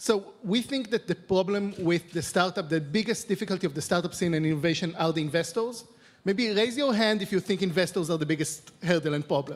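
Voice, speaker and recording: Fairly quick speech with ordinary pitch variation, in an Israeli accent. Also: man, high pitch for a man. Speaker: venture capital investor; panelist. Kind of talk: panel discussion. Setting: stage with audience. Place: stage. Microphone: handheld.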